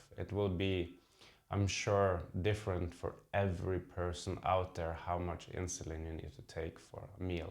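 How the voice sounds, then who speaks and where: At a moderate pace, a man with a non-native accent speaks in a very deep, low voice with fairly even intonation. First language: not English. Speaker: diabetes vlogger. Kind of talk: personal vlog talk to camera. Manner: halting, with fillers and repeats.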